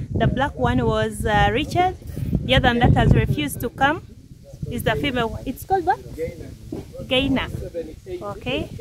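A woman speaks at a moderate pace with long, frequent pauses. The sound is dry with no echo, yet background noise is loud. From Uganda. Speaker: travel vlogger. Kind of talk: travel vlog walkthrough. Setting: outdoors. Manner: animated. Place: garden. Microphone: phone near.

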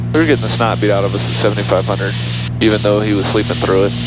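A man speaks at a very fast pace. The sound is dry with no echo, with music in the background. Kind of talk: casual vlog commentary and radio calls. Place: plane. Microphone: headset.

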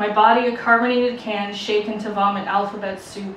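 Speech at a moderate pace with fairly even intonation comes through audible room echo and light background noise. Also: woman. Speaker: poet performer. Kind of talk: poetry reading. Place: bar.

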